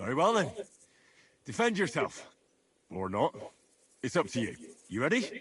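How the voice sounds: A put-on character voice from a man, fairly bright with a husky, rough edge, very wide pitch swings and a fairly slow pace. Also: medium pitch for a man.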